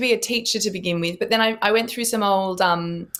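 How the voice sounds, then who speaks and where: A woman speaks in an Australian accent at a fairly quick pace. Her tone is bright and sharp. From Western Australia (Perth). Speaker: actress. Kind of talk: interview.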